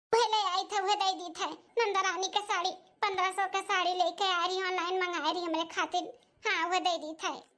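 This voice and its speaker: In a cartoonish character voice, a woman talks at an extremely high pitch and a fairly quick pace with monotone, flat intonation. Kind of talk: rustic family melodrama. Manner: plaintive, rustic.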